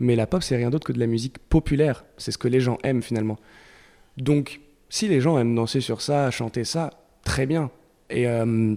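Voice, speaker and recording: A man with a French accent, medium in pitch and dark and mellow in tone, at a moderate pace with fairly even intonation and long, frequent pauses, on a very clean recording with a silent background. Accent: French-accented English when singing. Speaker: singer-guitarist in a rock band. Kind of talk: casual interview chat. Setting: radio studio. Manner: hesitant, with many fillers.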